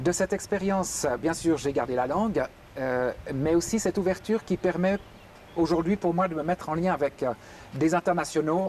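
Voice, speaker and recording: High male speech at a moderate tempo amid clear background noise. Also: ordinary pitch variation, very even loudness. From Geneva, Switzerland. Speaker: pastor. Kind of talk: interview testimony.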